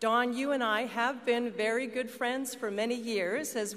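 A woman talks at a moderate pace in an ordinary speaking voice, fairly high in pitch with fairly even intonation. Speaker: politician. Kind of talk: formal speech. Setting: stage with audience. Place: hall. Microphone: podium.

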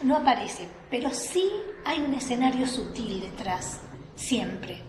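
High-pitched woman's voice at a fairly slow pace, lively intonation, noticeable background noise. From Buenos Aires, lives in La Rioja; Buenos Aires. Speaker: writer and writing workshop coordinator; guest. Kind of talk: talk-workshop on writing. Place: hall. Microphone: camera far.

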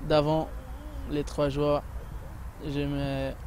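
A man speaks at a very slow pace. The sound is dry with no echo, and there is light background noise. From Brazil. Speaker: professional footballer. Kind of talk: interview answer. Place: stadium. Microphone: handheld.

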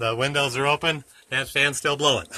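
A man's voice with a bright, sharp tone. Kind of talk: casual vlog tour. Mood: relaxed, amused. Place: home room. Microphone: phone near.

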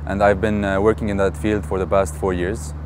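A man's fairly even intonation in a dry sound with no echo, against noticeable background noise. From Beirut, Lebanon. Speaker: marketing and advertising professional. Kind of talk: interview answer. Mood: frustrated, sad about his country. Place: garden. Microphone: lapel.

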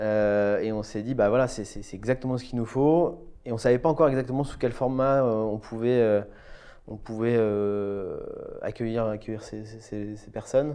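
A man's voice, medium in pitch with a dark, mellow tone, keeps fairly even intonation at a moderate pace against a quiet background. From Brittany, France. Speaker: architect. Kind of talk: interview. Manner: hesitant. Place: office.

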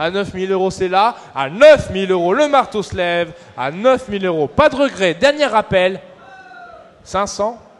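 A man talks at a fairly slow pace in a high pitch with lively intonation. Noticeable background noise runs under his voice. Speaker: auctioneer. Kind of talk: live auction calling.

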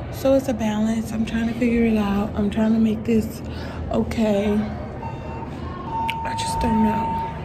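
A woman speaks very slowly over noticeable background noise. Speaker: vlogger. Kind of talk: casual vlog chat. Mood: reflective, emotionally candid. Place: hall. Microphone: phone near.

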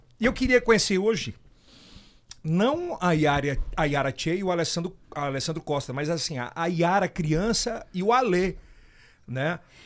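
A man speaks in a high voice with lively intonation and an animated tone. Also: fairly slow pace. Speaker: podcast host. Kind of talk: casual chat. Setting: studio. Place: studio. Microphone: studio mic.

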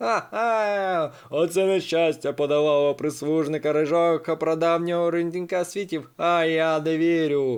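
Using a put-on character voice, a man talks at a fairly high pitch and moderate pace with hardly any pauses. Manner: mocking, gleeful.

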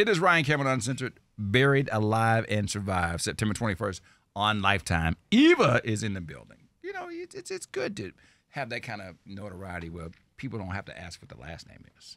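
A man's fairly low, animated voice at a fairly quick pace, with lively intonation, a dry sound with no echo, and a quiet background. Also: big swings in loudness. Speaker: radio host. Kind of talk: casual, jokey radio interview. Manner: animated, jovial. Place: studio. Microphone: studio mic.

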